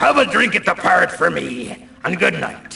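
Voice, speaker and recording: A man performs a put-on character voice. He speaks at a moderate pace. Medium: video game. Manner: hearty, jokey.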